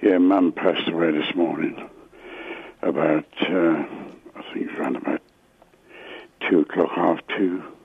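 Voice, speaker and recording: A man's fairly slow speech with long, frequent pauses and noticeable background noise. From England, Luton. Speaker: caller. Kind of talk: emotional phone call. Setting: phone call. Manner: halting.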